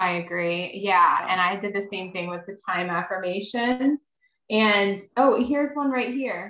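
In a plain, everyday voice with an American accent, a woman of medium pitch speaks at a fairly slow pace with ordinary pitch variation. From Maryland, US. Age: 30s. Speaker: life coach. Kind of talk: interview.

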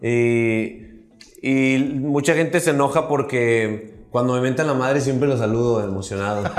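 Audible room echo surrounds a man speaking at a fairly slow pace. His medium pitch shows ordinary variation. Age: 30s. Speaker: comedian. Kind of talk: casual chat.

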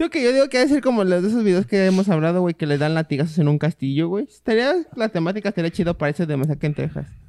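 A man with a Mexican accent, high pitch and a dark, mellow tone, talking at a very fast pace with lively intonation, in a dry, close sound with no echo. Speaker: podcast co-host. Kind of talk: casual chat.

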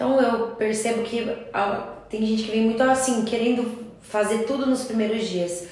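A fairly high-pitched woman at a moderate pace with monotone, flat intonation, amid noticeable background noise and audible room echo. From Curitiba, Brazil. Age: 30s. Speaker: crochet teacher. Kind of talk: casual chat.

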